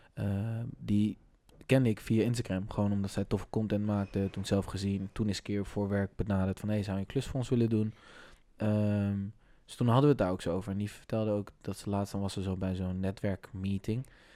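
On a very clean recording with a silent background, a man with a fairly low pitch and a dark, mellow tone speaks at a fairly quick pace in monotone, flat intonation. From Amersfoort, Netherlands. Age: 20s. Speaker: podcast host. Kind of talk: casual chat.

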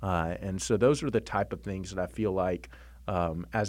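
A man's very deep, low voice with vocal fry, very wide pitch swings and a moderate pace. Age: 40s. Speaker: church network director. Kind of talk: interview.

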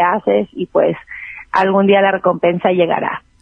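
Speaking at a moderate pace, a woman with an unremarkable speaking voice keeps her intonation fairly even. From Mexico City. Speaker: regional Mexican singer. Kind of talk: casual interview chat.

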